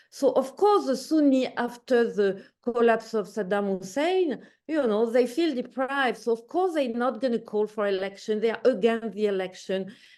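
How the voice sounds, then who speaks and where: With a French accent, a woman talks at a moderate pace, her fairly high pitch carrying lively intonation and a dark, mellow tone. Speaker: academic discussant. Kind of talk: panel discussion. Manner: halting, with self-corrections.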